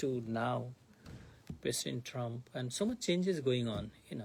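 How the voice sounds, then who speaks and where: A man's fairly slow speech comes out somewhat breathy. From India (Bengal). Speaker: monk teaching scripture class. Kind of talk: lecture. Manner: halting.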